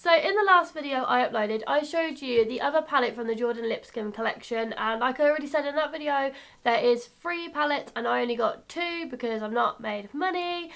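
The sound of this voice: A woman talks at a fairly quick pace in a high pitch, her fairly bright tone carrying vocal fry and ordinary pitch variation.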